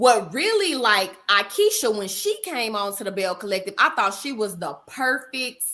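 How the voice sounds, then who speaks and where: A woman with a Texan accent speaks in a fairly high pitch, with an animated tone and lively intonation. Her voice is bright and sharp. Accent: Texas Southern. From Texas. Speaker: therapist and reality show fan. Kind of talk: casual livestream chat.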